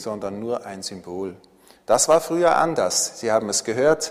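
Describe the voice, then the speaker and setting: Over noticeable background noise, a man at medium pitch talks at a fairly slow pace. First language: Swiss German (speaking German). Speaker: pastor. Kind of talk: sermon. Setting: church.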